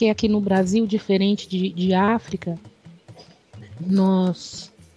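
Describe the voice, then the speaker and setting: Very slow, monotone, flat delivery from a woman at a medium pitch. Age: 40s. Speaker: candomblé initiate and religious activist. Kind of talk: interview. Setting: radio interview.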